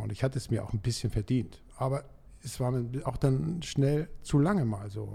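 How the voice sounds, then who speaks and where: A man's somewhat breathy, dark and mellow voice with lively intonation. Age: 60s. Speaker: dental lab owner, coaching client. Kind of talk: casual interview. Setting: studio.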